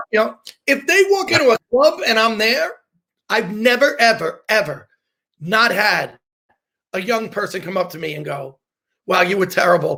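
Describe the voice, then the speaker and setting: In a raised, projected voice, a man speaks at a high pitch and moderate pace with a bright, sharp, animated tone and lively intonation. His loudness swings widely, and he takes long, frequent pauses. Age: 50s. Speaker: comedian. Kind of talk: casual chat.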